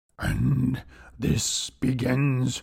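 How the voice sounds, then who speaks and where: In a put-on character voice, a man speaks with a rumbling sound. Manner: slow, measured, low.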